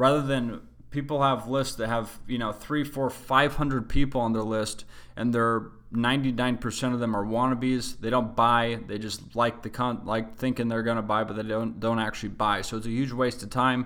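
In a Western US accent, a man with a medium-pitched, bright, sharp voice speaks at a moderate pace with monotone, flat intonation. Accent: American (Western US). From Utah, US. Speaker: real estate investing show host. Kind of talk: monthly educational monologue. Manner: casual, frequent filler words.

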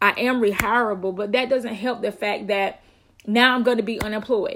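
A woman with a fairly high pitch talks in an animated tone at a fairly quick pace, with ordinary pitch variation. The recording is very clean, the background silent. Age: 30s. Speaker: vlogger. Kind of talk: motivational monologue.

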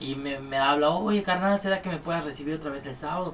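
With a Mexican accent, a man speaks at a fairly quick pace with lively intonation. Noticeable background noise runs underneath. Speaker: music producer and studio owner. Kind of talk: casual chat. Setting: studio.

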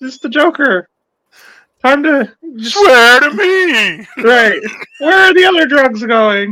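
In a put-on character voice, high-pitched and croaky, the speaker moves at a fairly slow pace with very wide pitch swings and long, frequent pauses. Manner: menacing interrogation.

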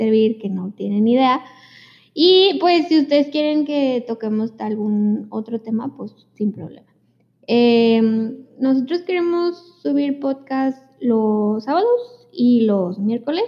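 This woman has a plain, everyday voice, fairly high in pitch, moving at a fairly slow pace with lively intonation. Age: 20s. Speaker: podcast co-host. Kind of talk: casual chat.

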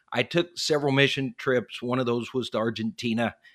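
In a very clean recording with a silent background, a man with an American accent speaks at a moderate pace and medium pitch with a bright, sharp tone. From western Colorado. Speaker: pastor and former missionary. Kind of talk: interview conversation.

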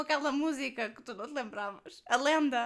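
A woman's fairly quick speech in a European Portuguese accent, with ordinary pitch variation. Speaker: podcast co-host. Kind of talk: casual chat.

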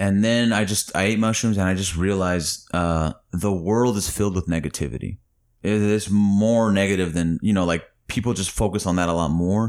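A man with a plain, everyday voice, moderate pace, fairly even intonation and very even loudness, on a very clean recording with a silent background. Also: fairly low pitch for a man. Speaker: comedian. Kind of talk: casual chat. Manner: laughs often.

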